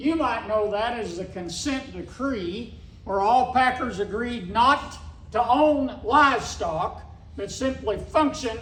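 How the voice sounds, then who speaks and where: In an Ozark accent, a high-pitched man speaks at a fairly slow pace with lively intonation, and audible room echo surrounds him. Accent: Ozark Southern US. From Missouri Ozarks. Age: 60s. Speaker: cattle rancher. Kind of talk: speech at a meeting.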